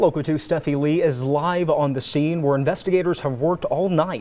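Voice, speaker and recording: A man's moderate-paced speech with ordinary pitch variation. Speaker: news anchor. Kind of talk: TV news anchor read. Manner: clear, measured.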